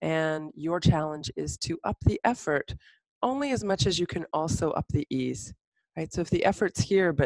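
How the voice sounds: This woman has a low pitch and a slightly mellow tone. She speaks at a moderate pace, and the sound is dry and close with no echo.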